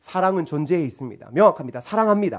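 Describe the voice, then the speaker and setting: A man speaks in a high voice at a fairly quick pace. His pitch swings very wide. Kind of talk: preacher or lecturer. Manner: forceful, harsh-sounding intonation.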